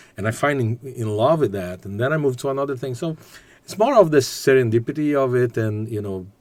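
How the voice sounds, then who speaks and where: A man with a Portuguese accent speaks at a moderate pace. His medium-pitched voice carries lively intonation. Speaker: business executive and graduate student. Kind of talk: podcast interview. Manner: halting.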